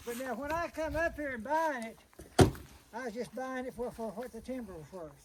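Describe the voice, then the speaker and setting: An extremely high-pitched man with an Ozark accent, fairly quick, with ordinary pitch variation and noticeable background noise. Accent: rural Ozark Southern US. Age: 90s. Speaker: elderly cabin owner. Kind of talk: casual chat.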